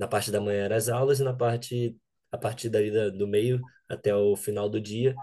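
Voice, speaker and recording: With a dark, mellow tone, a man talks at a moderate pace in a fairly low pitch and a monotone, flat intonation. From Brazil, Rio de Janeiro. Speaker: data scientist, bootcamp alumnus. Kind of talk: interview.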